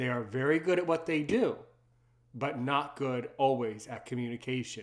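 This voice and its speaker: Speaking at a moderate pace, a man has a plain, everyday voice, a medium pitch and ordinary pitch variation. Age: 30s. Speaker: podcast host. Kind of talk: casual interview.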